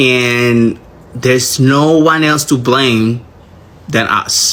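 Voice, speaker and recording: A man's medium-pitched voice, very slow in pace, with fairly even intonation. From Latin America. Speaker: political commentator on social media. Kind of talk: social media rant.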